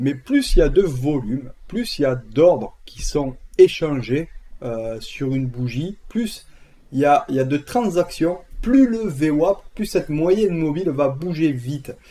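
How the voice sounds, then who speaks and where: A man with a southern French accent speaks at a fairly slow pace, his pitch fairly high. His tone is dark and mellow, and his intonation is lively. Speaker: trading educator. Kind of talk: tutorial. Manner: casual, with many fillers.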